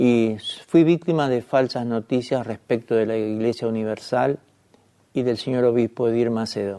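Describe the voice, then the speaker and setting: Having an unremarkable speaking voice, a man talks at a moderate pace and medium pitch with fairly even intonation. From Argentina. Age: 60s. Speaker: journalist. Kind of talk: testimony.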